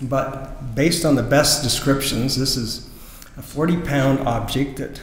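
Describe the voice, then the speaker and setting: The speech moves at a fairly slow pace with ordinary pitch variation. Audible room echo surrounds it. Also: man. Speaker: presenter. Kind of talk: presentation speech to audience. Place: church. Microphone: podium.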